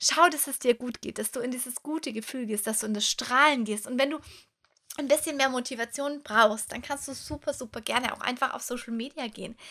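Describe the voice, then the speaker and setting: A woman with a high pitch and a bright, sharp, animated tone talks at a fairly quick pace with big swings in loudness. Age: 30s. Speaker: podcast host and coach. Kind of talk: motivational monologue.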